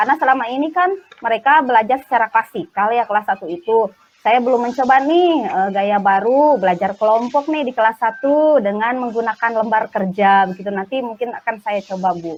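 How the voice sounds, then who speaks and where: A woman's fairly high voice at a fairly quick pace, with lively intonation. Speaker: primary school teacher. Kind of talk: role-play coaching conversation. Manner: hesitant, many fillers.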